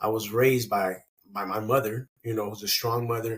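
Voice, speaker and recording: A man's somewhat breathy, medium-pitched voice, with fairly even intonation and a moderate pace. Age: 40s. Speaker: sports coach. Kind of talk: casual chat.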